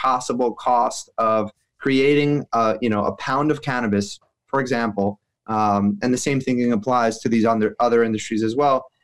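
A man with an American accent and a normal speaking voice talks at a moderate pace with ordinary pitch variation against a quiet background. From New York City. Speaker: renewable energy company president, former lawyer. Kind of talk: interview.

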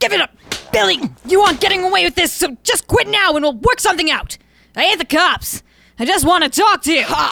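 This woman's voice is raised and projected at an extremely high pitch, with very wide pitch swings. She goes at a fairly quick pace, her loudness very even. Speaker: audio drama actor playing detective. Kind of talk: audio drama noir narration, hardboiled detective patter. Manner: gruff, wry, animated.

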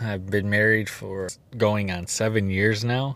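At a moderate pace, a man speaks with fairly even intonation and a fairly low pitch on a very clean recording with a silent background. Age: 30s. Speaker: podcast host and English teacher. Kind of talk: solo podcast monologue.

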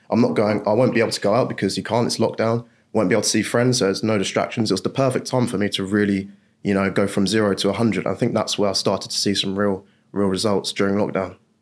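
A man with an English accent and a fairly low pitch talks at a very fast pace in a monotone, flat intonation. His loudness stays very even on a very clean recording with a silent background. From England. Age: 20s. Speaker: funded trader. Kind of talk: interview.

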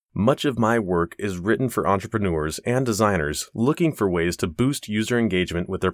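Someone reads in an unforced voice.

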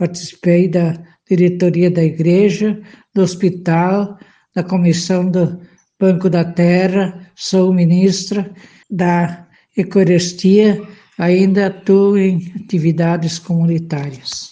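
Very slowly and at very even loudness, a woman with a fairly low, dark, mellow, somewhat breathy voice speaks in a monotone, flat intonation. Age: 70s. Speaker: retired farmer and community volunteer. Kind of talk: personal testimony.

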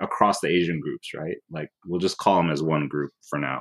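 The speaker has an American accent and ordinary pitch variation, against a quiet background. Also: man. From US West Coast, Oakland. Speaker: filmmaker. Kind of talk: interview.

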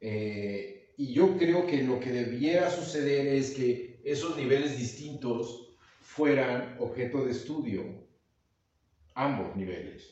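A man of medium pitch speaks very slowly. His pitch varies in an ordinary way. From Mexico, Veracruz (Agua Dulce). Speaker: actor, director and teacher. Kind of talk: casual chat.

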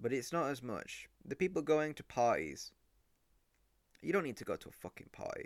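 The voice belongs to a man with an English accent. He talks at a moderate pace. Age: young. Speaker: podcast host. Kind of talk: solo monologue. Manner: animated.

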